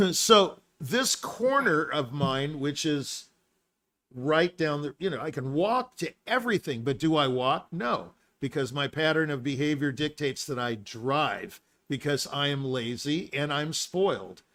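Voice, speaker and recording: On a very clean recording with a silent background, a man speaks at a fairly slow pace in a fairly high pitch, his tone bright, sharp and animated. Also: lively intonation. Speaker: musician and live show host. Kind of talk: casual chat. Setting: live stream.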